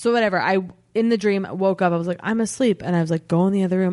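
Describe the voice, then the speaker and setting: Against a quiet background, a woman with a Californian accent talks at a fairly low pitch with ordinary pitch variation. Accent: Californian American English. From Los Angeles, US. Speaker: comedian. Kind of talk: casual chat.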